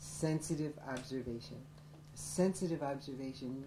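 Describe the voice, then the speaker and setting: A woman with an American accent speaks with a very deep, low pitch and fairly even intonation, and audible room echo is present. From upstate New York, Syracuse. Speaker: college professor. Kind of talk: documentary interview.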